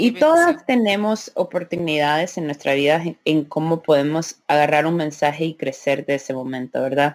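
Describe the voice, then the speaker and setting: A woman's very deep, low voice at a moderate pace, with hardly any pauses. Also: ordinary pitch variation. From US (Maryland and New Orleans), Honduran parents. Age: 30s. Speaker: podcaster and business development professional. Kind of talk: interview conversation. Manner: halting, with filler words and code-switching.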